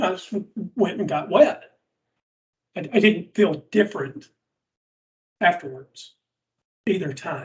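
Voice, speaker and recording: A man with a strong Southern US accent and very wide pitch swings. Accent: thick Southern US. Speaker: podcast co-host, former believer. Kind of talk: casual podcast discussion.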